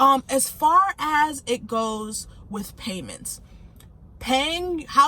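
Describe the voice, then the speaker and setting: A woman with a high pitch raises and projects her voice, using ordinary pitch variation over noticeable background noise. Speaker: finance vlogger. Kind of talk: casual tutorial vlog. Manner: casual, conversational.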